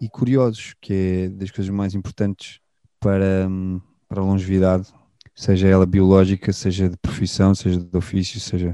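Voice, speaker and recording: Against a quiet background, a man talks in a very deep, low pitch with a dark, mellow tone and monotone, flat intonation, the sound dry and close with no echo. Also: moderate pace. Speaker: musician, band guitarist. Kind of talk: interview conversation. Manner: halting, repeats words.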